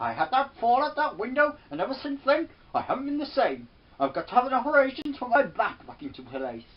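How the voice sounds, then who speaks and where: Shrill and high-pitched, the put-on character voice races along at a very fast pace. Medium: solo performance. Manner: shrill, screeching.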